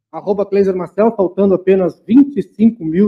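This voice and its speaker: At a moderate pace, a man talks in a high voice. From Santana do Livramento, Rio Grande do Sul, Brazil. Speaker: co-host and musician. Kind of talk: casual chat.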